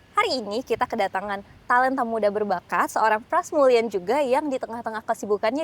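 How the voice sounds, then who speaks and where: A woman speaks very fast at a fairly high pitch with ordinary pitch variation. The recording is very clean with a silent background. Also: dry, close sound with no echo. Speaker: podcast host. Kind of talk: podcast hosting.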